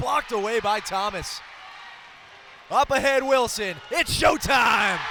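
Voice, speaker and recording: Against noticeable background noise, a man with an extremely high pitch speaks fairly slowly in a raised, projected voice. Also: lively intonation. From Eastern Shore of Maryland, US. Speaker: basketball play-by-play announcer. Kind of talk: live basketball play-by-play call.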